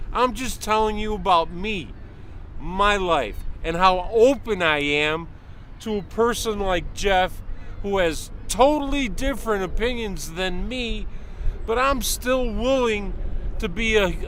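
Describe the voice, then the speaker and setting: A man with a high pitch speaks in an animated tone at a fairly slow pace, with ordinary pitch variation. The room has an audible echo. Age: 60s. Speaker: passer-by interviewee. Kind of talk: street interview, heated opinion. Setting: outdoors in a park.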